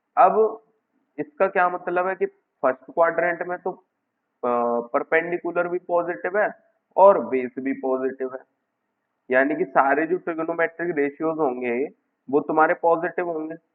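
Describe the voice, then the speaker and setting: With a high voice, a man talks using ordinary variation in pitch. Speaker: maths teacher. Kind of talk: tutorial. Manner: hesitant with fillers.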